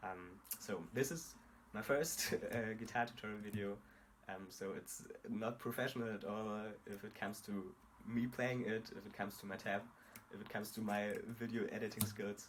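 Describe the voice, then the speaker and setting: With long, frequent pauses, a man speaks in a fairly low voice and a fairly even intonation. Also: moderate pace. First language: not English. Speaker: guitar tutorial creator. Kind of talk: tutorial. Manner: halting, many fillers.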